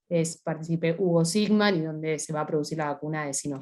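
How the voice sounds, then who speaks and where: A woman speaks with ordinary pitch variation. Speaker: scientist. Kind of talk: panel talk. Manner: fast.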